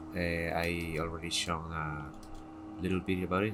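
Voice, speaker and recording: A man's very deep, low voice at a fairly slow pace, with fairly even intonation and music in the background. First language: not English. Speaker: gaming content creator. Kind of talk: casual tutorial showcase. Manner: halting, hesitant.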